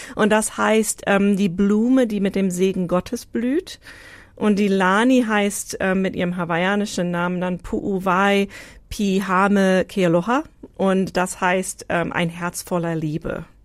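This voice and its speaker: A woman speaks at a very slow pace with fairly even intonation on a very clean recording with a silent background. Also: medium pitch for a woman. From Hawaii, US. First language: English (American) (speaking German). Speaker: interviewee, immigrant. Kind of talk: casual interview.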